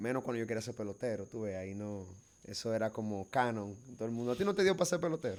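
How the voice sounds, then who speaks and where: Speaking very fast in a Cibao Dominican accent, a man uses a medium pitch and lively intonation. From Dominican Republic, Bonao (Cibao region). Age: young. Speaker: filmmaker and actor. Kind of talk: casual chat.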